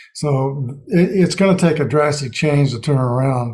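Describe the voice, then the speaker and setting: Somewhat breathy, this voice belongs to a man. The tone is dark and mellow. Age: 60s. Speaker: NFL picks show host. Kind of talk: casual chat.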